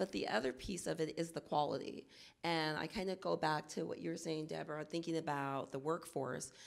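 Over a quiet background, a woman speaks with vocal fry. Her pitch is very deep and low, with ordinary variation. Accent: American. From Oakland, California; California. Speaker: early childhood planning coordinator; panelist, teacher advocate. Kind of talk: panel discussion. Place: hall. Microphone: handheld.

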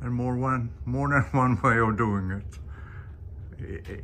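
Over light background noise, a man with vocal fry speaks very slowly, his pitch swinging very widely. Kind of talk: casual vlog chat. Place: workshop. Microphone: phone near.

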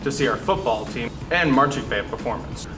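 A man at a very fast pace, with music in the background. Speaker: student news anchor. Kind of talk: news announcements with jokes. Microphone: lapel.

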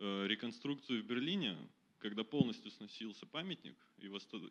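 A moderate pace paired with lively intonation. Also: man. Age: young. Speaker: design engineer. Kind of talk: audience question. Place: hall. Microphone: handheld.

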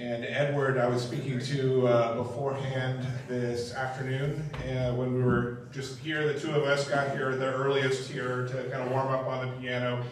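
A man speaks in a monotone, flat intonation. Audible room echo and light background noise are present. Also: moderate pace. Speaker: open mic host. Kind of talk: stage introduction. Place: stage.

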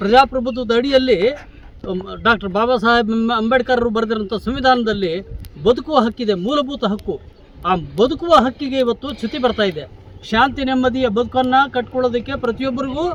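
A man speaks at an extremely high pitch with ordinary pitch variation. Noticeable background noise is present. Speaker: retired head teacher. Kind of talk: protest interview statement.

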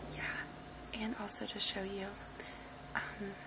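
The speaker is whispering. The tone is gentle. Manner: very soft, gentle spoken voice.

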